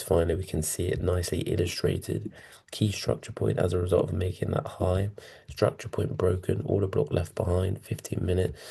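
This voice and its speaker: A man's very deep, low voice carries a dark, mellow tone and vocal fry. He talks at a moderate pace against a quiet background. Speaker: forex trading educator. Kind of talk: trading tutorial. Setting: hotel room. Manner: quiet, hushed.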